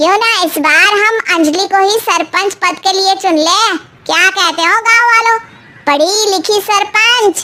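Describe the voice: This is a cartoonish character voice. It moves at a moderate pace with ordinary pitch variation. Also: woman, extremely high pitch for a woman.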